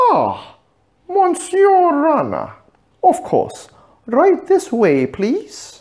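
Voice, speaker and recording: In a put-on character voice, a man speaks at an extremely high pitch and a very slow pace, leaving long, frequent pauses. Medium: read story. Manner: polished, formal service manner.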